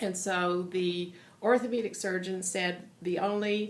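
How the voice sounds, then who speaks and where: Fairly slow and monotone, with flat intonation, a woman speaks amid audible room echo and noticeable background noise. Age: 60s. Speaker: patient giving testimonial. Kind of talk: testimony. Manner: hesitant, many fillers.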